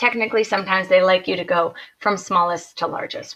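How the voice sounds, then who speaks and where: A woman's bright, sharp tone at a medium pitch. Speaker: high school math teacher. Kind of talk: video lesson tutorial. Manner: brisk, conversational.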